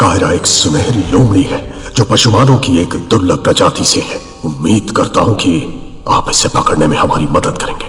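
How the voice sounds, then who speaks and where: Over clear background noise, a man does a put-on character voice at a fairly low pitch and a moderate pace. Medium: fan dub. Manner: smooth, measured.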